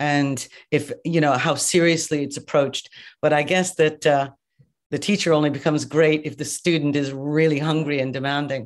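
Someone talks at a moderate pace in an Irish accent. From Ireland. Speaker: makeup artist and educator. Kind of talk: casual interview. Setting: video call.

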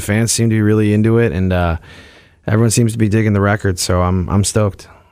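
On a very clean recording with a silent background, a man speaks in a fairly low voice with ordinary pitch variation. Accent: American. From US Midwest. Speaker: touring musician. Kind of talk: radio interview. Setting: studio. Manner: halting.

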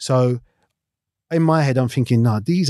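A man with a South London accent speaks at a moderate pace with ordinary pitch variation. The sound is dry and close with no echo, over a quiet background. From South London (Battersea/Clapham). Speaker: retired footballer. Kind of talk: casual interview.

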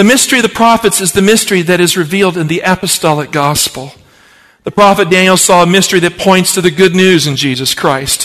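An American-accented man talks at a very fast pace with a high pitch. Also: ordinary pitch variation. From Appalachian Virginia. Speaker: pastor. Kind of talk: sermon.

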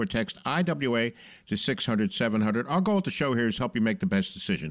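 The voice moves through very wide pitch swings in a very clean recording with a silent background. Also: man. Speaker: radio show host and consumer advocate. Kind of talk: radio talk show hosting, reading listener questions. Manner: upbeat, jokey.

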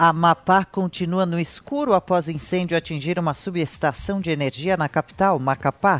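With hardly any pauses, a man talks in a high-pitched voice. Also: ordinary pitch variation, moderate pace. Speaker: news presenter. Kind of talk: news reading. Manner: formal.

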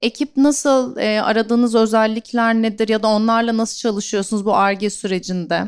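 An unremarkable speaking voice: a woman at a fairly high pitch, fairly quick pace, fairly even intonation, and hardly any pauses. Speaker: event moderator. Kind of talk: live interview. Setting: stage with audience.

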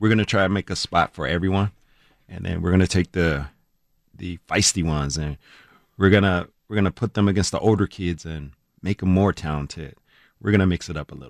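A man speaks at a very deep, low pitch with vocal fry and ordinary pitch variation, leaving long, frequent pauses, in a very clean recording with a silent background and a dry, close sound with no echo. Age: middle-aged. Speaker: youth basketball program director. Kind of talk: radio interview.

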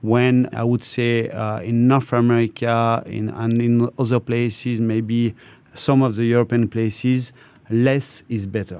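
A man with a French accent speaks at a fairly slow pace in a dark, mellow tone, with monotone, flat intonation. The recording is very clean, with a silent background. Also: medium pitch for a man. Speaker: corporate procurement executive. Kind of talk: radio interview. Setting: studio. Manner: hesitant, many fillers.

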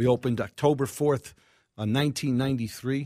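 On a very clean recording with a silent background, a man uses a plain, everyday voice in an American accent, speaking at a fairly quick pace with fairly even intonation. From New York City. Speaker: restaurateur. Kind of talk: casual interview.

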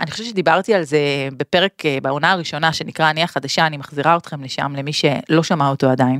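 Recorded with a dry, close sound and no echo, a woman talks at a fairly quick pace in a very deep, low pitch with ordinary pitch variation. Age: 40s. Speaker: podcast host. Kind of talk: solo monologue podcast. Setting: studio.

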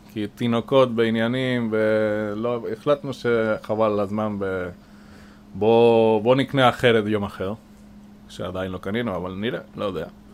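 Fairly low male voice, fairly slow in pace and fairly even in intonation. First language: Spanish (speaking Hebrew). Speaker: boat maintenance manager. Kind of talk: interview. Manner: hesitant with fillers.

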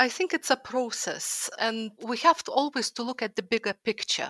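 A woman's fairly high, bright and sharp voice in a Lithuanian accent, dry and close with no echo. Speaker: historical fiction author and art historian. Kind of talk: panel discussion.

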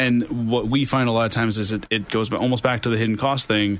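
A man with an American accent talks at a fairly quick pace. His is an unremarkable speaking voice at medium pitch. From New York State (Orange County). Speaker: IT company CEO. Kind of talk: radio interview. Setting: studio.

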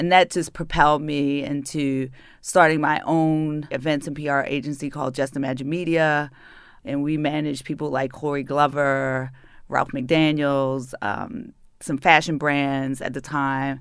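On a very clean recording with a silent background, a woman with a northern US accent speaks fairly slowly in a very deep, low voice with monotone, flat intonation. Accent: northern US accent, often taken for New York. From Baltimore, Maryland. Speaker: city arts and culture advisor, former PR executive. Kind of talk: interview.

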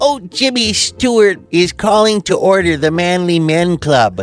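A man's put-on character voice at a high pitch. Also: moderate pace. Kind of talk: comic overacting. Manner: cranky, saucy, dismissive.

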